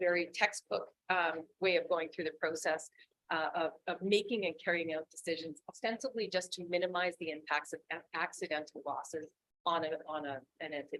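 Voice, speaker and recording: Ordinary pitch variation from a woman with a fairly low pitch. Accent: Canadian. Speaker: risk management presenter. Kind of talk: presentation to council. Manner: fast; loud.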